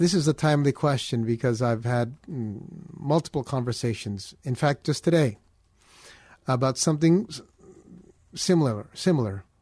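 In an American accent, a man speaks with a dark, mellow, somewhat breathy tone, ordinary pitch variation and long, frequent pauses over a quiet background. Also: medium pitch for a man, moderate pace. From US, Filipino family. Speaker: pastor, fill-in radio host. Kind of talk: call-in radio Bible Q&A. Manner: halting, repeats words.

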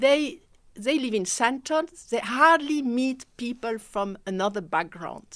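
A woman's high voice in a French accent, very slow in pace, with lively intonation. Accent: French-speaking. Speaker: mentorship program director. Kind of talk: radio interview. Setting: radio studio.

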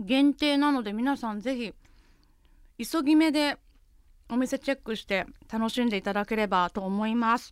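On a very clean recording with a silent background, the speech moves at a moderate pace with ordinary pitch variation and long, frequent pauses. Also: woman, fairly high pitch for a woman. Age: 30s. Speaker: radio host. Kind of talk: casual chat.

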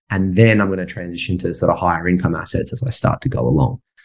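At a very fast pace, a man with an Australian accent talks in a very deep, low pitch with ordinary pitch variation. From Sydney, Australia. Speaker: property investor and software business owner. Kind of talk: casual interview chat.

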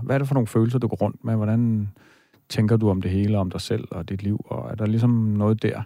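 A man's plain, everyday voice, fairly low in pitch, at a moderate pace with fairly even intonation, on a very clean recording with a silent background. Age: 40s. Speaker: dream expert, radio host. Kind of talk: radio talk show, dream interpretation. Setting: radio studio.

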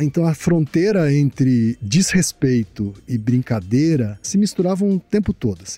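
A man speaks at a moderate pace in a fairly high, dark, mellow voice with lively intonation. The sound is dry and close, with no echo. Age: 50s. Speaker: advertising consultant and podcaster. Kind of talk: interview conversation.

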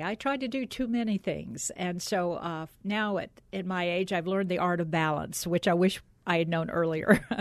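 In an unremarkable speaking voice, a woman with an American accent talks at a moderate pace. Her pitch is medium, and the background is quiet. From US South, Atlanta area, Georgia. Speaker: former TV broadcaster. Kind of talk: interview.

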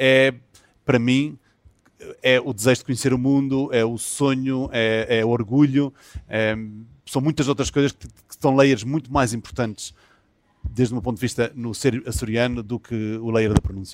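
Long, frequent pauses mark this man's speech at a moderate pace. His pitch is medium, and his loudness swings widely. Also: fairly even intonation. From Azores, São Miguel. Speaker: film and TV director, series creator. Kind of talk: interview. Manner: halting, many fillers and repetitions.

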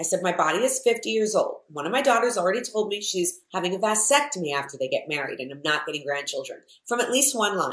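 The voice races at a very fast pace, its pitch swinging very widely, with vocal fry. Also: woman, fairly high pitch for a woman. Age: 50s. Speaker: entrepreneur. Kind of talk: casual chat.

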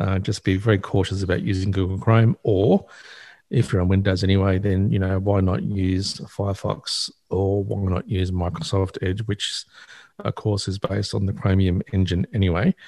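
A man with an Australian accent speaks at a moderate pace, somewhat breathy, with a dark, mellow tone and fairly even intonation, in a very clean recording with a silent background. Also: fairly low pitch for a man. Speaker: access technology advisor, regular tech commentator. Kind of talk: casual radio chat about technology.

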